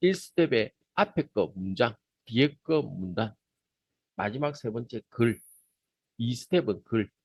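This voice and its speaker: Dry and close with no echo, a man's medium-pitched voice moves through very wide pitch swings and big swings in loudness, with long, frequent pauses. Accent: Gyeongsang. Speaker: teacher trainer. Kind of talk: lecture. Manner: casual, conversational.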